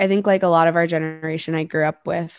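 Her American accent, fairly low pitch and monotone, flat intonation come across in a dry, close sound with no echo. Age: 20s. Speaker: podcast co-host, mental health researcher. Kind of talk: casual chat.

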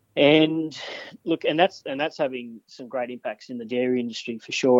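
In an Australian accent, a man talks at a fairly quick pace, recorded with a dry, close sound and no echo. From New South Wales mid north coast, Australia. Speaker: agricultural researcher. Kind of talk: interview. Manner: hesitant, many fillers.

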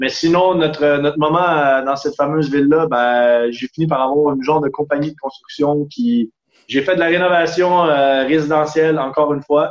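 A man with a fairly high pitch uses an ordinary speaking voice, keeping a moderate pace and fairly even intonation. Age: 30s. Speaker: sailor and traveler. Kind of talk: casual interview.

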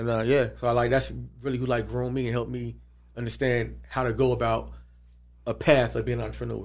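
Audible room echo surrounds the speaker. A man talks at a very fast pace. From Atlanta, US South. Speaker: sports and entertainment deal broker. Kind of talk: casual interview.

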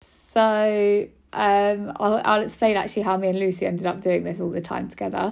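A woman speaks in a British accent at a medium pitch and a moderate pace, with monotone, flat intonation. The recording is very clean, with a silent background. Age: 30s. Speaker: podcast host, cancer survivor. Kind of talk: casual personal monologue. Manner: chatty, rambling with fillers.

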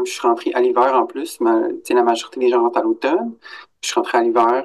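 A man with a Quebec accent, at a fairly quick pace. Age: 30s. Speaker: adult student in career counselling. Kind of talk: interview.

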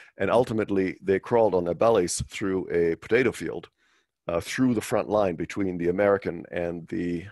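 A man talks with a very deep, low voice. His pitch varies in an ordinary way. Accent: German. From West Germany. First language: German. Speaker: finance executive and monetary reform advocate. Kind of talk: interview. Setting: video call. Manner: halting, frequent repetitions.

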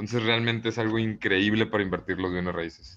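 A man talks very fast. His fairly low pitch shows ordinary variation. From Mexico, Monterrey. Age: 20s. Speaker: real estate entrepreneur. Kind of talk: interview.

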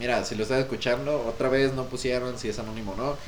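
Animated in tone, a man talks at a fairly quick pace and medium pitch. There is audible room echo and noticeable background noise. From Mexico. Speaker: podcast co-host. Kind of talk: casual chat.

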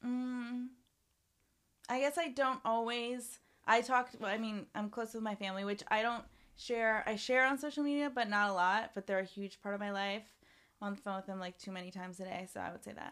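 In a very clean recording with a silent background, a woman with a plain, everyday voice talks at a fairly quick pace, her fairly high pitch varying in an ordinary way while her loudness swings widely. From Canada, Ontario. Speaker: musician. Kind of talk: casual chat.

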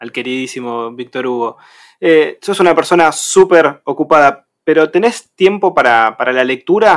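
On a very clean recording with a silent background, a man with ordinary pitch variation uses an unremarkable speaking voice. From Argentina, Buenos Aires province. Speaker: radio co-host. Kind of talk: interview.

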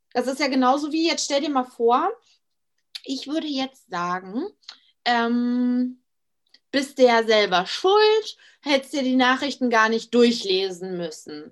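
Very slowly, with long, frequent pauses, a woman speaks at a high pitch that swings very widely. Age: 20s. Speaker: Instagram influencer. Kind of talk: casual interview chat.

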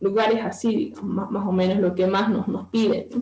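A woman speaks at a medium pitch in a monotone, flat intonation. Audible room echo and noticeable background noise are present. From Bolivia, Santa Cruz. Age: 20s. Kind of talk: interview talk.

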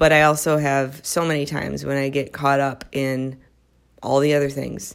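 A woman with an American accent speaks at a moderate pace, her very deep, low voice flat and monotone. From US Midwest. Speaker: psychiatric prescriber and wellness podcaster. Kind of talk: solo podcast monologue. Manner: casual, laughs often.

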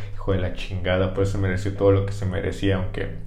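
A man's speech comes with noticeable background noise and audible room echo. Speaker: history podcast host. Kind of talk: comedic history storytelling. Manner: animated.

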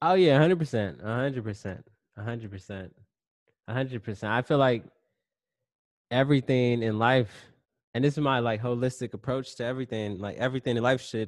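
Medium-pitched male speech with ordinary pitch variation and long, frequent pauses, against a quiet background. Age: 30s. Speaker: entrepreneur and self-published author. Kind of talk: casual chat.

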